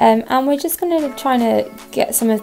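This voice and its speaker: A woman speaking at a fairly quick pace, with music in the background. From Hastings, England. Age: 20s. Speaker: makeup tutorial creator. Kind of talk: makeup tutorial narration.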